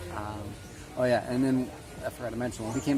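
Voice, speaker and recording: A man's flat, monotone delivery comes through audible room echo and noticeable background noise. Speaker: travel vlogger and volunteer. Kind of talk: casual vlog narration. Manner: many fillers and hesitations.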